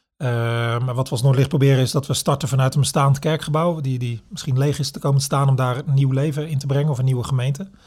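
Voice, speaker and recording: A man speaks very fast with hardly any pauses, at a fairly high pitch and with fairly even intonation. His voice is somewhat breathy, on a very clean recording with a silent background. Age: 40s. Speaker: pastor. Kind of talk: interview conversation. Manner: halting, with fillers and repetitions.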